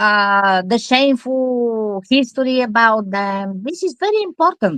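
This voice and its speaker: A woman speaks with a Bulgarian accent at a fairly slow pace, her intonation lively. The sound is dry and close, with no echo. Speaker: scam victim advocate and author. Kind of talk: interview. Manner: halting.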